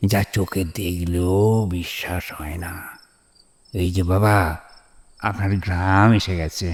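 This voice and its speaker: A man puts on a cartoonish character voice. He talks at a fairly slow pace. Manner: gentle, respectful.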